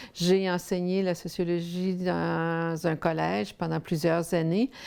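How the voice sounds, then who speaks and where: At a very slow pace, a woman speaks with a dark, mellow tone, fairly low pitch and fairly even intonation in a very clean recording with a silent background. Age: 60s. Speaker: sociologist and researcher. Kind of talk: interview testimony. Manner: halting, many fillers.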